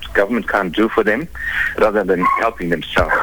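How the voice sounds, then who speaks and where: Over noticeable background noise, a man talks. His pace is very fast. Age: 60s. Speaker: caller, pensioner. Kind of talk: radio phone-in. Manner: halting.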